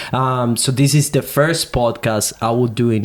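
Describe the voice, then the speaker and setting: Over noticeable background noise, a man with a Venezuelan accent speaks at a medium pitch and a fairly slow pace. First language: Spanish. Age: 20s. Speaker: podcast co-host. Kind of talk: casual chat. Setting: studio with microphones.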